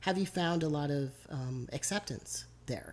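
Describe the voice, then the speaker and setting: Soft-spoken and somewhat breathy, a woman speaks at a fairly slow pace in a very deep, low pitch with lively intonation. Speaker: interviewer. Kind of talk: interview. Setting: rural Iowa.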